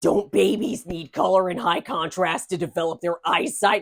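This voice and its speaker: A woman puts on a raspy character voice at a fairly low pitch. She moves at a moderate pace with lively intonation. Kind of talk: comedy podcast banter. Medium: cartoon. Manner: blunt, sarcastic.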